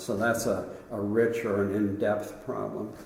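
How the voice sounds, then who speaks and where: A man's fairly low, monotone, flat voice at a fairly slow pace, with audible room echo and noticeable background noise. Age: 80s+. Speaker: sport philosopher. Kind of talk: interview. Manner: conversational.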